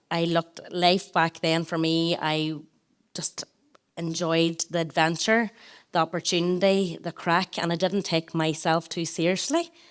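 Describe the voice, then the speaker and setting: Speaking in a Northern Irish accent, a woman talks at a fairly low pitch and a fairly slow pace. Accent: rural Tyrone. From Northern Ireland, rural County Tyrone. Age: 30s. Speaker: wellbeing brand founder and former teacher. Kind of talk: live podcast interview. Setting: stage with live audience.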